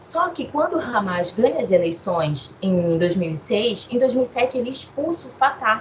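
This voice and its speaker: Very wide pitch swings at a moderate pace with hardly any pauses, over noticeable background noise. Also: woman, fairly high pitch for a woman. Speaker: international relations professor. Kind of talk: interview.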